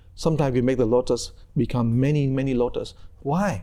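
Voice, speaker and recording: With a Vietnamese accent, a man speaks in a dark, mellow tone on a very clean recording with a silent background. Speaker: Buddhist monk and meditation teacher. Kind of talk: conversational teaching interview.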